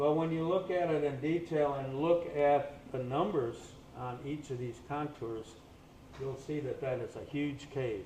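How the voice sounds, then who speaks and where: A man speaks at a fairly slow pace with ordinary pitch variation. Noticeable background noise and audible room echo are present. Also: fairly high pitch for a man. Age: 80s+. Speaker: scientist presenting at a conference. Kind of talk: conference presentation.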